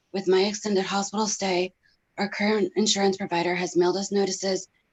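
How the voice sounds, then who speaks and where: A woman with an ordinary speaking voice talks at a fairly quick pace, her medium pitch carrying fairly even intonation. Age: 30s. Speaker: pharmacy technician and patient. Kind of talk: testimony. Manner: formal.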